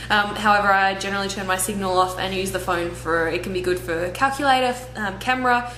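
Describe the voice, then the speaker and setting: Over background music, a woman talks very fast with an Australian accent. Room echo is audible. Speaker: travel vlogger. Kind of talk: vlog Q&A.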